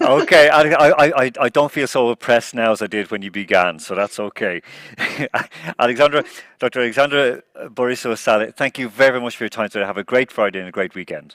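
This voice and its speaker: Big swings in loudness mark this man's very fast speech in an Irish accent, captured with a dry, close sound and no echo. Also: medium pitch for a man, ordinary pitch variation. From Ireland. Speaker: forum host. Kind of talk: forum moderation.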